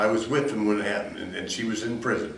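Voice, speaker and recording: A man with an American accent talks with ordinary pitch variation. Audible room echo and noticeable background noise fill the recording. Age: 70s. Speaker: convicted killer. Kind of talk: interview. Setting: jail. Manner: halting.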